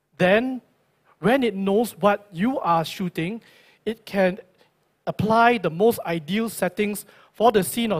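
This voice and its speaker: High pitch from a man with a Singaporean accent, at a fairly slow pace with long, frequent pauses and ordinary pitch variation, on a very clean recording with a silent background. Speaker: tech company product presenter. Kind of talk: product launch presentation. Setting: stage with audience at launch event.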